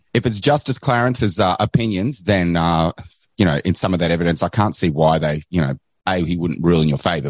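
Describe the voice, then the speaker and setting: A man talks very fast with an Australian accent, his very deep, low voice showing ordinary pitch variation. The sound is dry and close with no echo over a quiet background. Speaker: caller, online show host. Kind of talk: call-in commentary.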